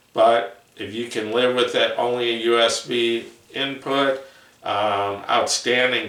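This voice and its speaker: Audible room echo and noticeable background noise around fairly even intonation. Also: man. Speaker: headphone reviewer. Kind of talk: product review video. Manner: slow; halting, many fillers.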